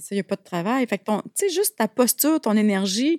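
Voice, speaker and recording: A woman at a very fast pace, dry and close with no echo, on a very clean recording with a silent background. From Quebec, Abitibi. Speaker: speaker and wellness entrepreneur. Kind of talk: casual interview.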